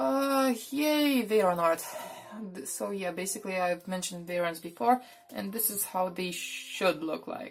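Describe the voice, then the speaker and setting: A woman with a non-native accent, very wide pitch swings, big swings in loudness, a fairly slow pace, and noticeable background noise. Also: medium pitch for a woman. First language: not English. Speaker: artist sharing sketchbook. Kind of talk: casual voice-over narration. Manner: unscripted, hesitant.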